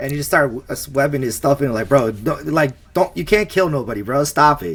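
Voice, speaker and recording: Mumbling at a fairly quick pace, the speaker uses lively intonation and vocal fry. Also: man, fairly high pitch for a man. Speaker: film commentary podcast co-host. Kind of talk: casual chat.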